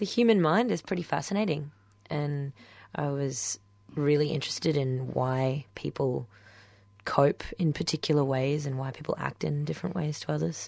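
A woman speaks with an Australian accent in a very deep, low pitch. The background is quiet. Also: ordinary pitch variation, moderate pace. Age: 20s. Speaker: guest. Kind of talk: radio interview. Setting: radio studio.

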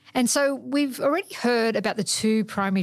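With an Australian accent, a woman speaks at a moderate pace with ordinary pitch variation on a very clean recording with a silent background. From Australia, Sydney. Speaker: climate scientist. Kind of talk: documentary narration.

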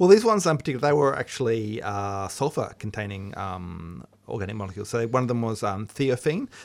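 With an Australian accent and lively intonation, a man rattles along at a very fast pace and a medium pitch with hardly any pauses, on a very clean recording with a silent background. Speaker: science radio host. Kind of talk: casual chat. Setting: studio.

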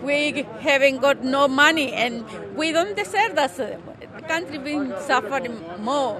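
The speaker has a Salvadoran accent and a fairly slow pace. Noticeable background noise can be heard. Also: woman. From El Salvador, San Vicente. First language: Spanish. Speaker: protester. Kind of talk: interview.

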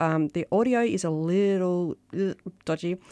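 A woman with ordinary pitch variation in a very clean recording with a silent background and a dry, close sound with no echo. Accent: Australian. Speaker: radio co-host, housing advocacy director. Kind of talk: community radio chat. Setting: radio studio.

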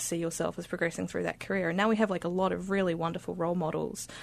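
Against a quiet background, a woman speaks very fast in a fairly low pitch with vocal fry. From Lebanon (Beirut). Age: 20s. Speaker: genetics PhD student. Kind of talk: casual chat. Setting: studio.

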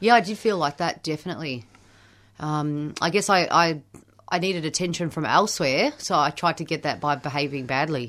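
A woman with an Australian accent, very deep and low in pitch, at a fairly quick pace with ordinary pitch variation. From Melbourne, Australia (Camberwell). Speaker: recovering addict sharing story. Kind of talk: testimony. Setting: radio studio.

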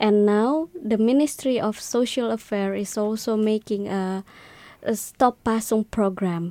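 A woman with an Indonesian accent, fairly high-pitched and dark, mellow in tone, at a fairly slow pace, in a very clean, silent recording with a dry, close sound and no echo. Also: ordinary pitch variation. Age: 20s. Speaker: clinical psychologist. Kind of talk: interview.

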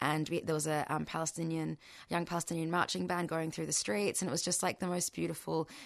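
Over a quiet background, a woman with an Australian accent talks very fast in a fairly low pitch, with fairly even intonation and very even loudness. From Australia (arrived as a small child, born in Bahrain). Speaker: Palestinian activist. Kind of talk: radio interview. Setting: radio studio.

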